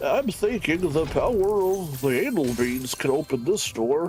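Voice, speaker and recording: Clear background noise sits behind a man doing a put-on character voice at a moderate pace, his pitch fairly high. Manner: nerdy, mocking.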